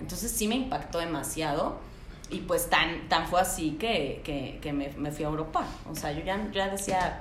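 With a Mexican accent, a woman speaks at a fairly slow pace and a fairly low pitch, with noticeable background noise and audible room echo. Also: ordinary pitch variation. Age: 30s. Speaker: podcast guest. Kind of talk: casual chat.

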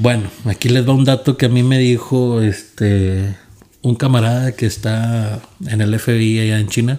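A plain, everyday voice, this man talks at a fairly slow pace with medium pitch, fairly even intonation and very even loudness. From Monterrey, Nuevo León, Mexico. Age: 20s. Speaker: podcast co-host. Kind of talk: casual chat.

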